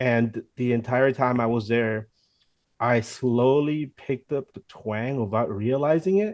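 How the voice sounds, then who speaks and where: A man speaks fairly slowly at a medium pitch, with ordinary pitch variation, in an unremarkable speaking voice. The sound is dry and close, with no echo. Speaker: football fan channel co-host. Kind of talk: casual chat.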